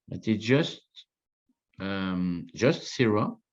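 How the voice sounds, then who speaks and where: A man is speaking with a French accent. His intonation stays fairly even. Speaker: winemaker. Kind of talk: interview. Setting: video call. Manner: halting.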